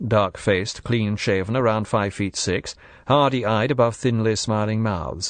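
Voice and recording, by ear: The text is read aloud in a natural voice. Fairly even intonation runs through it.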